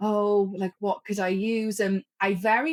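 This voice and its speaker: The voice carries a Welsh accent. The sound is dry and close, with no echo. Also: woman. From Wales. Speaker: author. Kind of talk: casual chat. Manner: halting.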